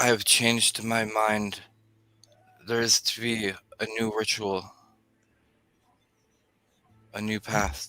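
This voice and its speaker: In a put-on character voice, a man booms at a medium pitch and a fairly slow pace, leaving long, frequent pauses. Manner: commanding.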